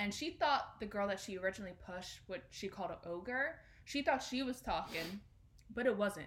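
A woman talks at a fairly quick pace in a medium pitch, her lively intonation carried by a somewhat breathy sound. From South Jersey. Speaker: podcast co-host. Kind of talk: casual chat.

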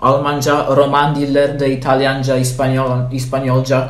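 A man with a fairly high pitch speaks at a very slow pace. The room echo is audible and there is noticeable background noise. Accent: Polish. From Poland. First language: Polish (speaking Turkish). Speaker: language student. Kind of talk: casual interview. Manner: halting, many fillers.

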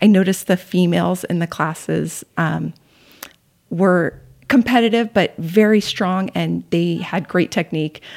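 Someone talks at a fairly slow pace in a plain, everyday voice, with ordinary pitch variation. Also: woman, fairly low pitch for a woman. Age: 50s. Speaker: CrossFit coach and gym member. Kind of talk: casual interview.

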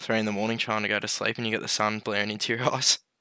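The speech comes very fast with an Australian accent. Its tone is bright and sharp. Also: man, very clean recording, silent background. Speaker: podcast co-host. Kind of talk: casual chat.

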